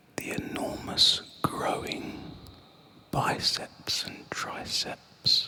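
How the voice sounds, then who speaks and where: The words come as a whisper, very slowly. Noticeable noise sits behind them. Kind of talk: nostalgic sleep story narration. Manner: soft-spoken.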